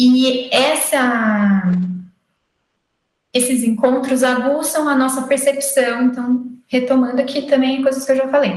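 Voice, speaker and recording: Pausing long and often, a woman speaks at a fairly slow pace with fairly even intonation. Her high voice carries audible room echo. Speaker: occupational therapy lecturer. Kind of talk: lecture. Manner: halting.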